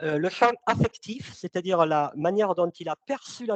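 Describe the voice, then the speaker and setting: Loud and fairly slow, a man speaks at a high pitch with ordinary pitch variation in a dry, close sound with no echo. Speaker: sales consultant and trainer. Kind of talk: webinar presentation. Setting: online webinar. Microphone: mic too close, speaker moved it away.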